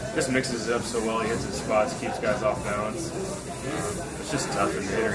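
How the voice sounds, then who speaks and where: Loud background noise fills the clip. A man talks over it at a moderate pace. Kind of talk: interview answer.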